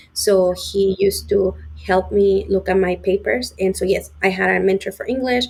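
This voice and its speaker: Speaking in a Spanish accent, a woman uses a medium pitch. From Mexico (Puebla). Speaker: sales engineer. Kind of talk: interview.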